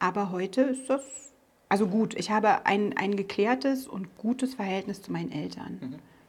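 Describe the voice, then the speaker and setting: A woman talks at a moderate pace, her medium pitch and lively intonation carrying over noticeable background noise. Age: 40s. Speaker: business owner, former police officer. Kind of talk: interview. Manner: hesitant, many filler sounds.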